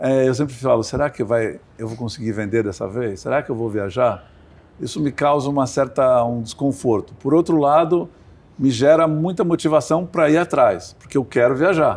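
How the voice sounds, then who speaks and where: With an ordinary speaking voice and lively intonation, a man speaks at a medium pitch and a moderate pace on a very clean recording with a silent background. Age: 60s. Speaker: sailor and sports entrepreneur. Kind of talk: interview.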